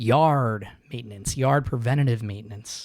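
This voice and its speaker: Pitched in the medium range, a man's put-on character voice carries the clip. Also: moderate pace. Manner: playful, mock-pirate.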